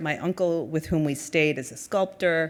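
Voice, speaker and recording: In a very clean recording with a silent background, a woman speaks with a Spanish accent at a very deep, low pitch. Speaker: nonprofit executive. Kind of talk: conference speech.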